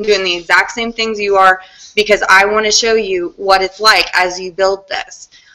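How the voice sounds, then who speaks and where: A woman speaks with noticeable background noise. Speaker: content marketing consultant. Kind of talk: group video call presentation. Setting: online video call. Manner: fast; animated.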